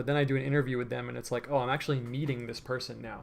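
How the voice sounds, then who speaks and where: Very fast, a man delivers his words at a medium pitch. His intonation stays monotone and flat. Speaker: painter and livestreamer. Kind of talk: livestream painting tutorial with chat. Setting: livestream from his room. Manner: casual, filler-heavy; soft-spoken.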